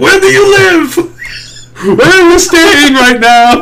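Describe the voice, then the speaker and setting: A man's put-on character voice, extremely high in pitch and very slow, over loud background noise. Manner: intrusive, questioning.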